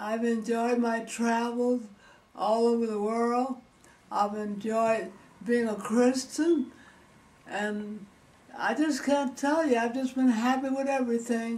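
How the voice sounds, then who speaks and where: Speaking at a very slow pace with long, frequent pauses, a woman keeps a fairly high pitch and fairly even intonation. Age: 80s. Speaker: elderly woman giving farewell message. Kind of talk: farewell speech to family. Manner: calm, cheerful, reflective. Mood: warm, content, cheerful. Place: home room. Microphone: camera far.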